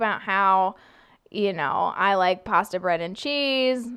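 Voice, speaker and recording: In a very clean recording with a silent background, a woman speaks with an American accent. She has an ordinary speaking voice and a fairly slow pace. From California, US. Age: 20s. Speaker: TV meteorologist. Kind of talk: casual interview chat.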